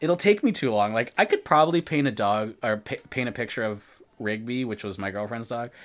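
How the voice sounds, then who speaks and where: A man with a normal speaking voice talks at medium pitch with ordinary pitch variation. He barely pauses, and the recording is very clean with a silent background. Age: 30s. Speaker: podcast host and artist. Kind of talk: casual chat. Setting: live stream.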